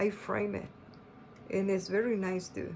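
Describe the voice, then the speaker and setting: Over noticeable background noise and audible room echo, a woman at medium pitch speaks at a fairly slow pace in a non-native accent. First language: not English. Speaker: quilting and embroidery pattern designer. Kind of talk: tutorial. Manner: halting, with many fillers.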